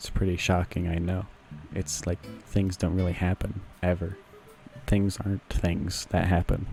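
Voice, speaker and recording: A man with a very deep, low pitch speaks in a monotone, flat intonation at a moderate pace, with long, frequent pauses. Music plays in the background. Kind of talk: comedy podcast monologue. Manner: rambling, improvised.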